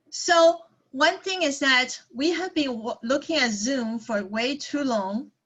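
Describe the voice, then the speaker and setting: A woman speaks with a Taiwanese accent. Her pitch is high. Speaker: psychologist. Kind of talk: workshop talk. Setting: video call.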